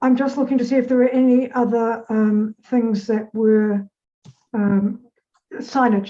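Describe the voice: A woman speaks with a dark, mellow tone at a fairly high pitch, with little pitch movement.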